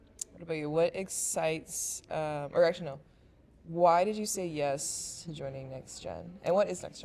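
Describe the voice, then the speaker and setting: A woman with a normal speaking voice and fairly low pitch talks at a moderate pace with big swings in loudness. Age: 20s. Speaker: university student and family caregiver. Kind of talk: casual chat. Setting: podcast.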